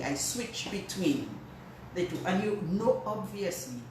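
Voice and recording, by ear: A woman's lively intonation amid audible room echo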